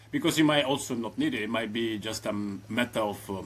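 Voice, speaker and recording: A man's medium-pitched voice with an Italian accent and fairly even intonation. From southern Italy, Reggio Calabria. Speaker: AI automation consultant. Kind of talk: casual interview. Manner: hesitant, many fillers.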